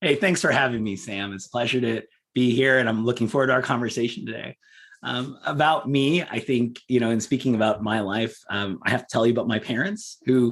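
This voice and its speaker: A normal speaking voice from a man with an American accent, medium in pitch, with ordinary pitch variation, a fairly quick pace and a quiet background. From Southern California. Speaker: public policy advocate. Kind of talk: interview podcast. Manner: many filler words.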